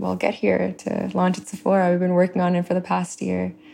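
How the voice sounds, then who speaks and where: A woman with a fairly low pitch and a dark, mellow tone talks at a fairly quick pace in a very clean recording with a silent background. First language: Telugu. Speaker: beauty brand founder. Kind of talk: interview. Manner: halting.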